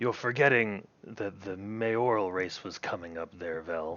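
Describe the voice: A man puts on a character voice with a fairly low pitch and ordinary pitch variation. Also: moderate pace.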